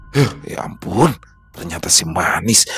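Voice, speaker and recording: A man uses a put-on character voice that is raspy and soft-spoken, pitched fairly low. He talks at a fairly slow pace with music in the background. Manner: relieved murmur.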